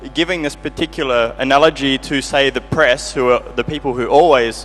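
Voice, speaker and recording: This male speaker moves along at a fairly quick pace. Music is heard behind him. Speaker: audience member asking a question. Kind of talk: audience question. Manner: fast.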